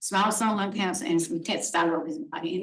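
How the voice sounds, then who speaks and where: A woman speaks in a somewhat breathy voice, with audible room echo around her. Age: 60s. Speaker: resident making a public comment. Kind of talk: public comment at a council meeting. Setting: town board meeting. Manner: halting.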